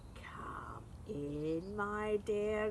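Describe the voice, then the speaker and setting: A woman's growling put-on character voice at a medium pitch, over clear background noise. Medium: read story. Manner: sly, growling.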